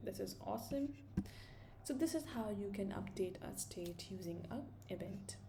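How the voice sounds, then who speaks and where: Room reverberation is clearly heard. Through it, a woman talks at a medium tempo. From India. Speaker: programming tutor. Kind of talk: tutorial. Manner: casual, thinking aloud.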